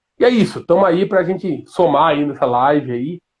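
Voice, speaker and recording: A man talks at a fairly slow pace, his high pitch carrying lively intonation. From Jaú, São Paulo state, Brazil. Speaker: road rescue nursing technician. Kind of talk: casual live-stream chat.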